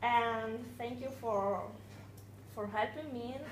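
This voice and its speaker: Against noticeable background noise and audible room echo, a woman with an Italian accent speaks very slowly with fairly even intonation. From Italy. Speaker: new employee. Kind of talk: self-introduction at work meeting.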